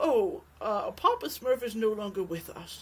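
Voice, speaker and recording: A woman performs a put-on character voice at a moderate pace. Her fairly high pitch swings very widely. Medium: read story.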